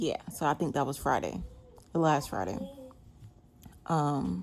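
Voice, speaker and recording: Fairly slowly and at a very deep, low pitch, a woman speaks with vocal fry and very wide pitch swings. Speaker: day trader. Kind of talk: tutorial.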